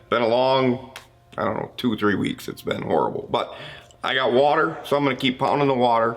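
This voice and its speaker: Noticeable background noise sits behind the recording. A man with a medium pitch speaks with fairly even intonation. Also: fairly quick pace. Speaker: boat mechanic and channel host. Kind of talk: casual vlog talk.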